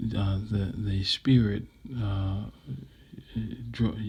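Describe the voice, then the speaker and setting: On a very clean recording with a silent background, a man with a fairly low, somewhat breathy voice speaks very slowly in a flat monotone. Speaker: vlogger sharing personal reflections. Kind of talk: unscripted personal monologue. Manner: hesitant, many fillers and repetitions.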